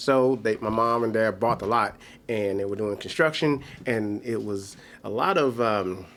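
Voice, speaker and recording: With a normal speaking voice, the speaker moves at a moderate pace with ordinary pitch variation. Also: man, medium pitch for a man. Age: 40s. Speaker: comedian. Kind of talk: casual chat.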